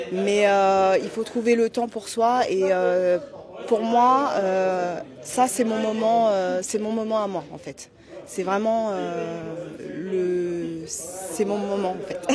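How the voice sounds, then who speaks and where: Through audible room echo and noticeable background noise, a woman speaks very slowly at a medium pitch with ordinary pitch variation. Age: 30s. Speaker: amateur boxer. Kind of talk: interview. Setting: boxing gala venue. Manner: halting, many fillers.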